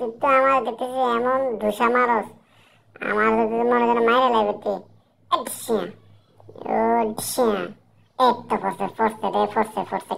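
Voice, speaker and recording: At a moderate pace, someone delivers lines in a cartoonish character voice. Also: female-sounding voice, fairly high pitch for a woman. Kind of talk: comic overacting. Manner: loud, excitable, boastful.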